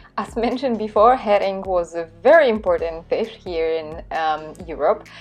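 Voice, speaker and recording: A woman's medium-pitched voice at a fairly slow pace, with music in the background. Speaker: food vlogger. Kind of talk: vlog narration. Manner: frequent filler hesitations.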